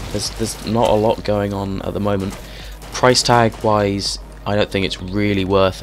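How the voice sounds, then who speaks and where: Over music in the background, a man speaks in a fairly low voice. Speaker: video game reviewer. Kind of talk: gameplay commentary. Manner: casual, hesitant with fillers.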